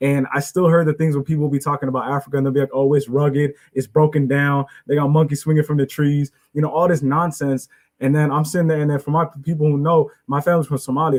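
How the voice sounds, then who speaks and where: A man's fairly high, somewhat breathy voice at a very fast pace with fairly even intonation, in a dry, close sound with no echo. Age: 20s. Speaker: student moderator of a panel. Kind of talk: panel discussion.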